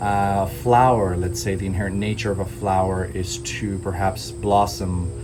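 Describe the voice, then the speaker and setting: A man with a very deep, low voice talks at a moderate pace in a calm tone, with ordinary pitch variation and hardly any pauses. Noticeable background noise and audible room echo surround him. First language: Hindi. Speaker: spiritual teacher. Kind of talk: spiritual talk. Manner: calm, many filler words.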